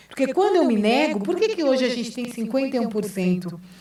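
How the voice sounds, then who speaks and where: A woman's voice makes very wide pitch swings. Room echo is audible. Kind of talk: lecture and debate answer.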